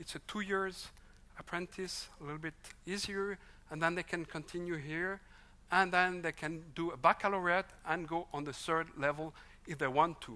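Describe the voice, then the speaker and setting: A Swiss French accent on a very clean recording with a silent background. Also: moderate pace. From French-speaking Switzerland. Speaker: vocational education expert. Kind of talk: conference presentation.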